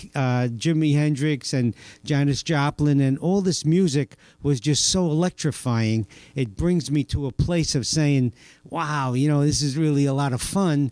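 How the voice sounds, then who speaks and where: A man with a New York accent, dark and mellow in tone, at a fairly slow pace with very even loudness and ordinary pitch variation. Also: fairly high pitch for a man, dry, close sound with no echo. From Staten Island, New York. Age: 60s. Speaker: church member, former drug addict. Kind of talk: testimony.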